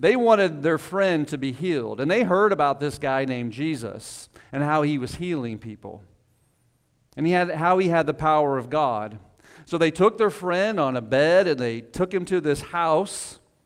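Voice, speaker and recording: Speaking at a moderate pace in a plain, everyday voice, a man with a fairly high pitch uses lively intonation on a very clean recording with a silent background. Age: 40s. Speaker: pastor. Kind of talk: sermon. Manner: casual, conversational.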